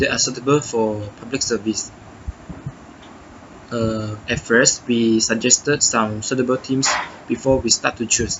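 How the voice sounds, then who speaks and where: Pausing long and often, a man speaks at a fairly slow pace in a monotone, flat intonation. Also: medium pitch for a man. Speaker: university student. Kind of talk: reflection monologue. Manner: halting, many self-corrections.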